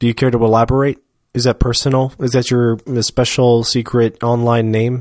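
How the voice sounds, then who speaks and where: A man with an American accent speaks in a flat monotone at very even loudness. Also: medium pitch for a man, moderate pace. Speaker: podcast co-host. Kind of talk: casual chat. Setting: live broadcast, same room as co-host.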